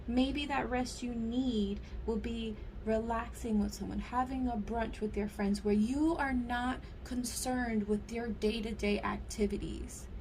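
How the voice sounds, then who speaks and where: With audible room echo, a woman delivers her words at a fairly slow pace. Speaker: tarot card reader. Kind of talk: pick-a-card tarot reading to viewers. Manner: casual, animated.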